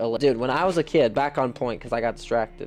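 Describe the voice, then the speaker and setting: A man speaks at a fairly quick pace, his medium pitch moving with ordinary variation. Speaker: gaming YouTuber. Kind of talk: gameplay commentary. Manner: casual slangy; fast.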